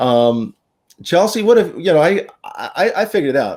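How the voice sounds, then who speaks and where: Lively intonation from a man with a dark, mellow tone at a moderate pace, on a very clean recording with a silent background. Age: 60s. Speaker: horse racing show host. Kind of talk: casual chat.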